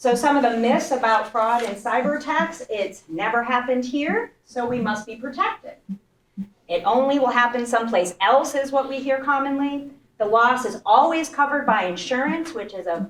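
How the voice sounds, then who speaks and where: Loud and high-pitched, a woman speaks with lively intonation. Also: moderate pace. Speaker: banking executive. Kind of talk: presentation.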